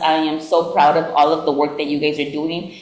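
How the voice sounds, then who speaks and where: A woman talks at a moderate pace. Her voice carries audible room echo with noticeable background noise. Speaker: city council member. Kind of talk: farewell speech at council meeting. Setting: city council chamber with audience. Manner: loud.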